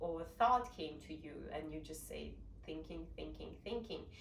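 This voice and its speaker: With a Russian accent, a woman speaks at a fairly slow pace amid noticeable background noise and audible room echo. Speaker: meditation practitioner sharing experience. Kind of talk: informal explanation talk.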